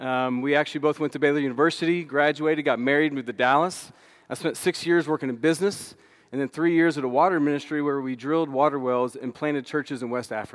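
A man with a Texan accent, fairly high-pitched, talking at a very fast pace with fairly even intonation. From Texas, Austin. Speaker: missions minister. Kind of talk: sermon. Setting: church.

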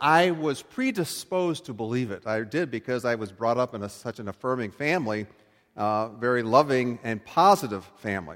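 A man with an unremarkable speaking voice talks at a moderate pace in an American accent, his pitch medium and his intonation lively. The recording is very clean, with a silent background. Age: 60s. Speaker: pastor. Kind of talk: sermon. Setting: church. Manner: conversational.

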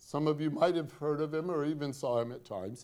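A man's voice with a dark, mellow tone. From Northwest Indiana, US Midwest. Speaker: pastor. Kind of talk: sermon. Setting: church.

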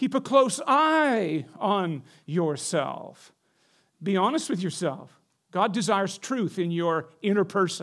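On a very clean recording with a silent background, a man with a high voice speaks very slowly, his pitch swinging very widely. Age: 60s. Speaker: pastor. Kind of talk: sermon. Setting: church.

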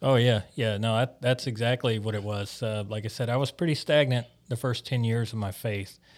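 A man talks at a moderate pace with a medium pitch and a Mississippi accent. The recording is very clean, with a silent background. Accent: Southern US (Mississippi). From US South, Biloxi, Mississippi. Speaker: church planting intern, military veteran. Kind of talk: interview, personal testimony.

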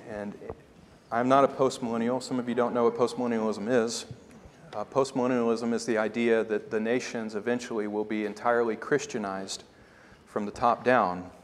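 At a fairly quick pace, a man speaks with monotone, flat intonation. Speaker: preacher. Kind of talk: sermon. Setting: church.

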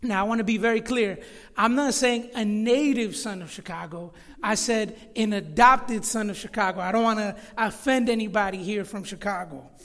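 In an American accent, a man talks at a high pitch amid audible room echo. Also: moderate pace. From Florida. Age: 30s. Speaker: pastor. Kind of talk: sermon. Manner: halting.

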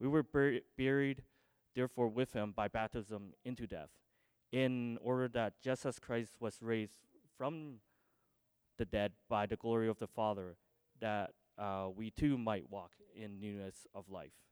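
A man at medium pitch with ordinary pitch variation, a fairly slow pace, and long, frequent pauses, in a dry, close sound with no echo. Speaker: church member giving baptism testimony. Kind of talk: testimony. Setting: church. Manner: halting.

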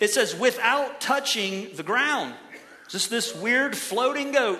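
In a raised, projected voice, a man with an American accent speaks at an extremely high pitch with lively intonation, amid noticeable background noise and audible room echo. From Ohio. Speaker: pastor. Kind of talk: sermon.

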